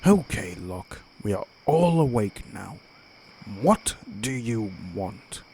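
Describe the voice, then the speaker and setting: In a put-on character voice, a man at medium pitch speaks at a very slow pace with very wide pitch swings and long, frequent pauses. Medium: machinima. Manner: curt, irritable.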